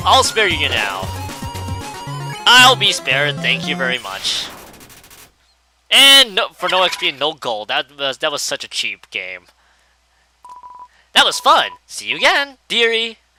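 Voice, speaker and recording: A put-on character voice at middle pitch and moderate pace, with faint music in the background. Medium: game stream. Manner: honeyed, condescending.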